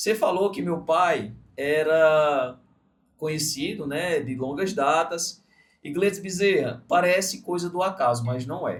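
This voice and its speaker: Here a man talks at a fairly slow pace in a plain, everyday voice. His pitch is fairly high, with ordinary pitch variation. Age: 30s. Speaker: podcast host, entrepreneur. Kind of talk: interview podcast. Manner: casual, reflective storytelling.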